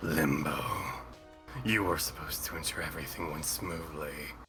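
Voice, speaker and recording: Over clear music in the background, a man uses a raspy, put-on character voice. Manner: cool, commanding.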